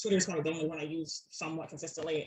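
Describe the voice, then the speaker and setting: With a Southern US accent, a woman talks at a fairly low pitch and with fairly even intonation. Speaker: public speaker and advocate. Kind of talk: presentation. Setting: video call from bedroom. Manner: frequent fillers and hesitations.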